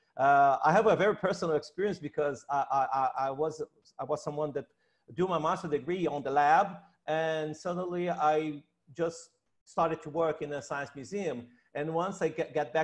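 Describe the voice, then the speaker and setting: A man with a Portuguese accent speaks at a moderate pace against a quiet background. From Brazil. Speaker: researcher and science educator; science educator. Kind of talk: panel discussion. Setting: video call. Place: home room. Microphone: earbuds.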